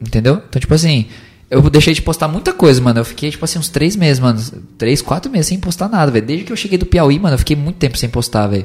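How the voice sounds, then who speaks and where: A man's somewhat breathy voice at a fairly high pitch, very fast, with lively intonation. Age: 20s. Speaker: preacher and evangelist. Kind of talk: casual chat. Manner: animated.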